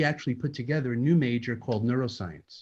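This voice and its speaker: A somewhat breathy man with an American accent and medium pitch, talking at a very fast pace against a quiet background. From New York. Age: 60s. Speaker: neurologist. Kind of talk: interview.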